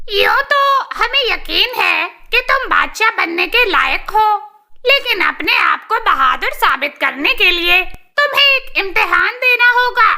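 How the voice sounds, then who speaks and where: Using a cartoonish character voice at an extremely high pitch, a woman speaks fairly slowly with hardly any pauses. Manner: knowing, slightly condescending.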